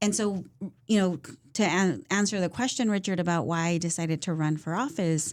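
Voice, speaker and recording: Her loudness stays very even as the woman talks fairly quickly at a fairly low pitch. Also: ordinary pitch variation, very clean recording, silent background. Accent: Californian. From Central Valley, California (Fresno area). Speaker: political candidate. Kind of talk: interview.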